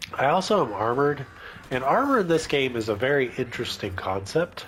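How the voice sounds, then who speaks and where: Over noticeable background noise, a man talks at a very even loudness. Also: medium pitch for a man, fairly quick pace. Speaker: gamer. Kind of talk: casual gameplay commentary.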